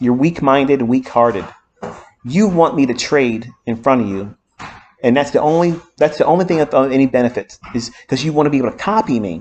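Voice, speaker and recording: A man with a plain, everyday voice, lively intonation, and a fairly quick pace. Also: fairly high pitch for a man. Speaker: trading mentor. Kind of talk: lecture.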